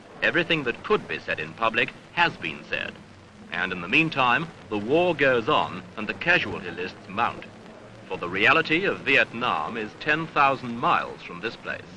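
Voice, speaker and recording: A medium-pitched male voice with very wide pitch swings and big swings in loudness, at a moderate pace, over noticeable background noise. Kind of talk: newsreel narration.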